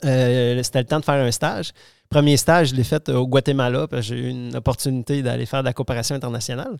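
A man talks at a very fast pace with fairly even intonation and medium pitch. The sound is dry and close, with no echo. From Quebec City, Quebec. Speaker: organic vegetable farming network member. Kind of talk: casual interview. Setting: host's home. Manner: halting.

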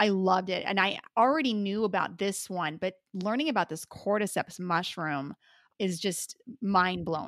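The recording is very clean, with a silent background and a dry, close sound with no echo. A woman speaks at a moderate pace in a medium pitch with ordinary pitch variation. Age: 40s. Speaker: podcast co-host. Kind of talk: health podcast conversation.

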